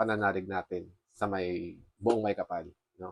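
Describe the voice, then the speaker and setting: Against a quiet background, a man speaks at a fairly low pitch with ordinary pitch variation in a dry, close sound with no echo. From Philippines. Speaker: forex trader vlogger. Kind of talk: casual vlog update. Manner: halting.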